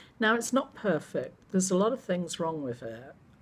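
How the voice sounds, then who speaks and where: A woman with an English accent speaks at a fairly low pitch with ordinary pitch variation. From England. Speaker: vlogger. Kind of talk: casual vlog monologue.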